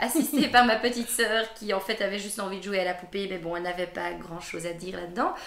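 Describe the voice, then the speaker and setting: Talking at a very fast pace with hardly any pauses, the speaker uses ordinary pitch variation over noticeable background noise. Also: woman, medium pitch for a woman. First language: Dutch (speaking French). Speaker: fashion journalist. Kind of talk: interview. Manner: hesitant, many fillers.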